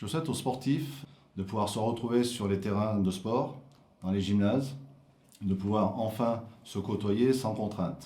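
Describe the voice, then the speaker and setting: In a room with audible echo, a man speaks slowly, fairly low-pitched and dark, mellow in tone, with ordinary pitch variation and long, frequent pauses. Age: 60s. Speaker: town councillor. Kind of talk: self-introduction.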